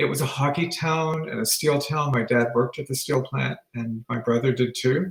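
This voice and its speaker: Somewhat breathy man with a fairly high pitch and fairly even intonation. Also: moderate pace. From Northern Ontario, Canada (Sault Ste. Marie). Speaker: retired teacher. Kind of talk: interview.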